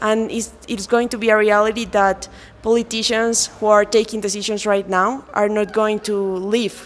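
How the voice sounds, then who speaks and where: Fairly high-pitched woman's voice in a Colombian accent, monotone and flat, at a moderate pace over noticeable background noise. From Colombia, Andean region. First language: Spanish. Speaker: lawyer. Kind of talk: interview. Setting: event in Quito. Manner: halting, with many fillers.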